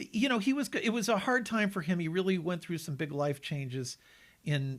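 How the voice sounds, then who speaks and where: A man speaks at a fairly quick pace with a somewhat breathy voice and lively intonation, on a very clean recording with a silent background. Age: 60s. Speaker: animation producer. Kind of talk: interview. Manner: fast.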